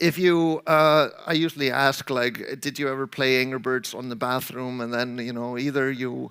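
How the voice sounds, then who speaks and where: A man with a medium pitch and a bright, sharp tone speaks at a fairly slow pace with ordinary pitch variation. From Iceland. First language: Icelandic. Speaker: game programmer and conference speaker. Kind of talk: conference talk. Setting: stage with audience.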